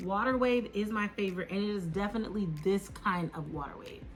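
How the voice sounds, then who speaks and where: Music plays in the background as a woman speaks at a moderate pace. Her pitch is medium and her intonation lively. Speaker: beauty YouTuber. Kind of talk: product review. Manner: casual, filler-heavy.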